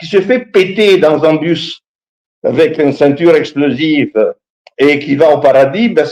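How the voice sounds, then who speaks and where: A man's fairly high voice with an Italian accent, the sound dry and close with no echo. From Italy. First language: Italian (speaking French). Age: 60s. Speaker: history professor. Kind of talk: talk show discussion. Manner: animated, halting with repetitions.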